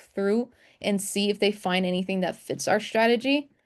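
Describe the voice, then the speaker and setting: Against a quiet background, a woman with a non-native accent speaks at a medium pitch. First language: not English. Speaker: trading instructor. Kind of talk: live webinar tutorial. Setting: video call screen share. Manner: casual, conversational.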